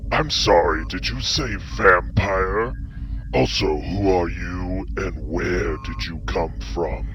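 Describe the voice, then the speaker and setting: Over loud background noise, a man performs a put-on character voice at a very slow pace. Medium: machinima. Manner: arrogant, taunting.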